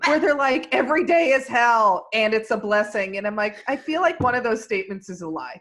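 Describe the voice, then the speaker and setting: Fairly high in pitch, this woman has an unremarkable speaking voice. She talks at a fairly quick pace with hardly any pauses. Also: lively intonation. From US Midwest, Indiana. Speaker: comedian. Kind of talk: casual chat. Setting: video call.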